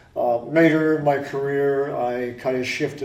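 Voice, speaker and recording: In an American accent, a man speaks at a fairly slow pace with monotone, flat intonation and audible room echo. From Connecticut, Stratford. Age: 60s. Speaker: retired technician, support group founder. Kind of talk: interview.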